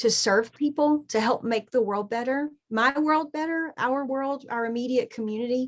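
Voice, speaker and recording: Against a quiet background, the speaker talks with a Southern US accent, ordinary pitch variation and hardly any pauses. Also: woman, high pitch for a woman, moderate pace. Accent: Southern US (Georgia). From US South, Southeast Georgia. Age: 40s. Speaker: artist and journaling teacher. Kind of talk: podcast interview.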